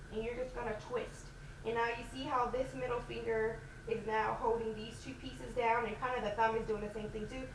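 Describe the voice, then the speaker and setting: Amid noticeable background noise and audible room echo, a woman talks at a fairly high pitch. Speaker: natural hair vlogger. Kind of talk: tutorial. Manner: loud.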